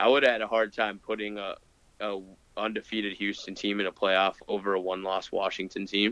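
In a Midwestern American accent, a man with a fairly low voice and a bright, sharp tone speaks with monotone, flat intonation. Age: 20s. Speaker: college football podcast co-host. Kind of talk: casual chat.

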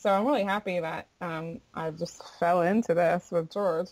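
An American accent marks this woman's fairly low-pitched voice, an ordinary speaking voice. She speaks at a fairly slow pace with fairly even intonation. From Florida. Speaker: bluegrass singer. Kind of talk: casual interview chat.

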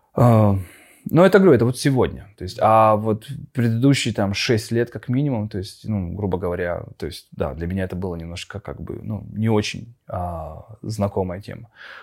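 A man's plain, everyday voice, fairly low in pitch, with ordinary pitch variation, big swings in loudness and a moderate pace, on a very clean recording over a silent background. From Russian Far East, Khabarovsk. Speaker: animation studio owner. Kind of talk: casual interview. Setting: studio.

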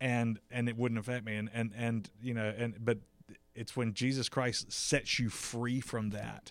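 A man with an American accent speaks at a fairly slow pace and medium pitch in monotone, flat intonation. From South Carolina. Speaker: pastor. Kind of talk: round table discussion. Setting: church building. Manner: halting, repeats words.

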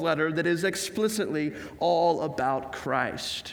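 This man talks at a fairly slow pace in a high pitch, with ordinary pitch variation. Room echo is audible and background noise is noticeable. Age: 20s. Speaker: pastor. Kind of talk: sermon.

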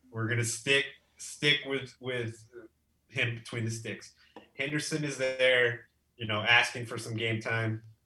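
A man with an American accent, a medium pitch and a bright, sharp tone, speaking in a monotone, flat way at a fairly slow pace with long, frequent pauses. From Texas. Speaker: football fan, giveaway winner. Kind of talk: casual chat.

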